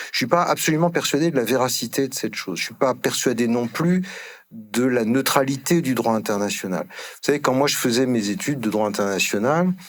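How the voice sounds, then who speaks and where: A man with a plain, everyday voice, medium in pitch. He speaks at a fairly quick pace with lively intonation. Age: 60s. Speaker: emeritus law professor. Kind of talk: conference panel talk. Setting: conference hall with audience.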